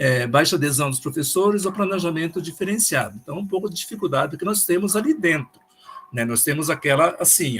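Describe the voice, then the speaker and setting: Here a man speaks with a high pitch and lively intonation. His pace is fairly quick. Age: 70s. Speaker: school principal and teacher. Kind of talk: online meeting presentation. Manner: halting.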